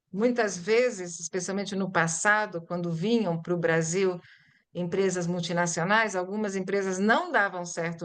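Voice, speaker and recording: Using a plain, everyday voice, a woman speaks at medium pitch and moderate pace with fairly even intonation. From Brazil (born in Italy, arrived at six). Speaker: Portuguese-as-foreign-language teacher. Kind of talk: lecture presentation.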